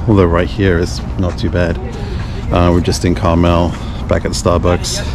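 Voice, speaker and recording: A man talks with a very deep, low pitch. The sound is dry with no echo, though background noise is noticeable. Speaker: motorcycle vlogger. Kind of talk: casual vlog chat. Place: street. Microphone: helmet.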